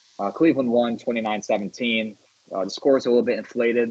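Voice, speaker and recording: With an American accent, a man speaks at a fairly quick pace in a plain, everyday voice. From US Northeast, Syracuse, New York. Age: 20s. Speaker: sports podcast host. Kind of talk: casual podcast chat; stats rundown. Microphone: connection issues, static.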